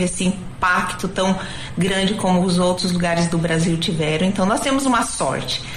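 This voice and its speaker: Over noticeable background noise and audible room echo, a woman speaks at a moderate pace with a medium pitch. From Mato Grosso do Sul, Brazil. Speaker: IT businesswoman. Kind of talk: radio interview.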